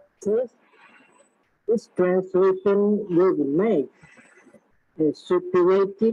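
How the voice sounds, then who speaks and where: With a Vietnamese accent, a woman talks at medium pitch with fairly even intonation. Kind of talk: prepared talk. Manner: halting. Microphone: poor sound quality.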